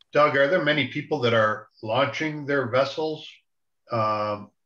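Against a quiet background with audible room echo, a man with a bright, sharp tone and a fairly high voice speaks at a moderate pace with ordinary pitch variation. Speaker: zoning board member. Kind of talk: committee meeting. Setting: video call. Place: home room. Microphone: video call.

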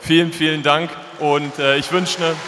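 There is light background noise as a man speaks. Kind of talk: farewell speech to fans. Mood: emotional, slightly hesitant. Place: stadium. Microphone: handheld.

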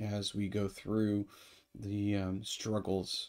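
A man's very slow, fairly low voice, dark and mellow with a warm tone, against a quiet background. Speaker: priest. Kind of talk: fervent prayer, earnest and heartfelt, addressed to God; morning prayer service, liturgical reading and prayer. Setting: online video broadcast. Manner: earnest, warm, slow and pausing with fillers. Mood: calm, reverent. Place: home room.

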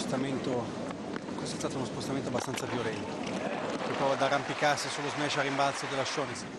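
Noticeable background noise sits under speech delivered at a fairly quick pace with hardly any pauses. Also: man, fairly high pitch for a man. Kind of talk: live sports commentary. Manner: fast, clipped, excitable play-by-play; reactive, drops to a concerned tone at the injury.

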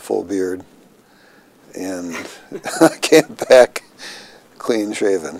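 In a dry sound with no echo, a man talks with an American accent. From Minnesota, US Upper Midwest. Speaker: health care executive; interviewee. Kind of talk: oral history interview. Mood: relaxed, amused storytelling. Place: office.

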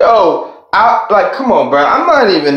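Against a quiet background with audible room echo, a man speaks at a very slow pace. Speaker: vlogger. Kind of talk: casual vlog rant. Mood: annoyed, mocking, heated. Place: bathroom. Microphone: phone near.

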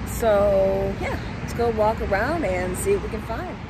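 A woman's voice with no echo comes through over noticeable background noise. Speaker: urban exploration vlogger. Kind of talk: casual vlog chat. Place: street. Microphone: phone near.

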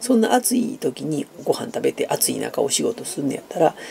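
Amid light background noise, a man talks at a moderate pace. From Japan. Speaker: YouTuber; vlogger. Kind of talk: casual chat. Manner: hesitant with many fillers. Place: home room. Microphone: phone near.

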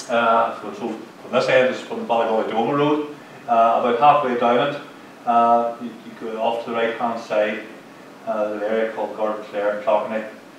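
In a Mid Ulster accent, a man speaks at a medium pitch with monotone, flat intonation, audible room echo and light background noise. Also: moderate pace. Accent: Mid Ulster Northern Irish. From Northern Ireland, County Tyrone; Northern Ireland. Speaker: local historian; lecturer on local war history. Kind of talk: lecture. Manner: halting. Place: hall. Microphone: camera far.

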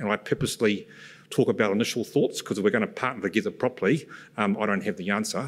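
With ordinary pitch variation and a quiet background, a man talks at a fairly quick pace. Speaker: presenter. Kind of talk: conference presentation. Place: stage. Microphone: podium.

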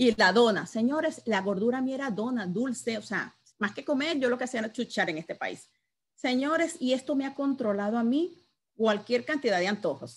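Lively in intonation and animated in tone, a woman with a fairly high pitch speaks at a moderate pace. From Venezuela. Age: 50s. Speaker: network marketing distributor; sales trainer. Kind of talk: product training presentation. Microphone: video call.

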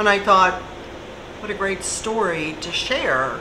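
With noticeable background noise, a woman talks at a fairly slow pace. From Kentucky. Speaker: writer and journalist, recovered addict; interviewee. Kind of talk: interview. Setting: cafe. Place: cafe. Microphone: camera far.

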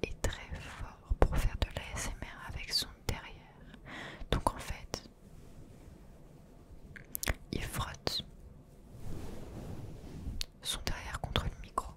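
A soft-spoken woman whispers at a very slow pace, with long, frequent pauses and big swings in loudness. Noticeable background noise runs underneath. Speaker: ASMR creator. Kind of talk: soft whispered ASMR talk. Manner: soft close-mic ASMR whisper. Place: home room. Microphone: studio mic.

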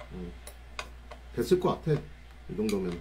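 A man speaks with light background noise. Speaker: delivery rider livestreamer. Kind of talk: casual livestream chat. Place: home room.

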